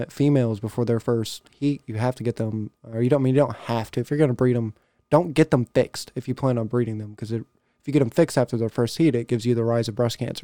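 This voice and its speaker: Here a man speaks at a very fast pace with a medium pitch and fairly even intonation. His tone is dark and mellow, and the sound is dry and close with no echo. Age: 20s. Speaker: HVAC install driver, car audio enthusiast. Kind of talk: casual chat.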